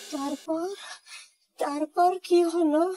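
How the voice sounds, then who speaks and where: This cartoonish character voice is pitched extremely high. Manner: stammering, fearful.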